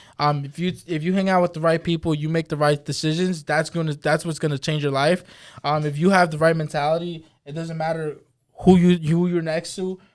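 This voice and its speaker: On a very clean recording with a silent background, a man with an American accent speaks at a fairly quick pace in a fairly high pitch. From Brentwood, Long Island, New York. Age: 20s. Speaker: real estate broker, podcast co-host. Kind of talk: interview. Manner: animated.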